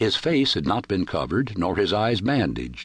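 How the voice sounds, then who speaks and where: Vocal fry and very wide pitch swings from a man with a fairly low pitch, at a moderate pace over a quiet background. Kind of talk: audiobook narration of a short story. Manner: dramatic, measured, formal.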